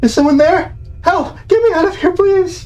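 The speaker uses a put-on character voice at an extremely high pitch. The pace is moderate, with light background noise. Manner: desperate, pleading.

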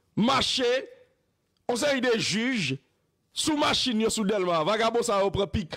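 A man with a Haitian accent talks at a very slow pace, leaving long, frequent pauses, his pitch high and his intonation lively. His tone is bright and sharp, his loudness very even, and the background quiet. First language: Haitian Creole (speaking French). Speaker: news show host. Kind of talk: political commentary. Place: studio. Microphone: studio mic.

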